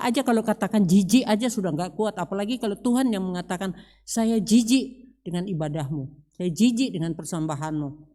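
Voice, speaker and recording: A woman of medium pitch speaks fairly quickly, her tone dark and mellow and her intonation lively, in a very clean recording with a silent background. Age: 70s. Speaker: church deacon preaching. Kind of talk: sermon. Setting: church service.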